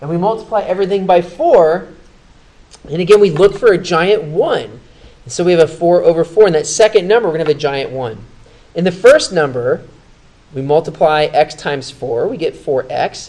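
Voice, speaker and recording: Over noticeable background noise, a man talks at a fairly quick pace in a high pitch, with ordinary pitch variation and big swings in loudness. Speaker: math teacher. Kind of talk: tutorial. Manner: fast.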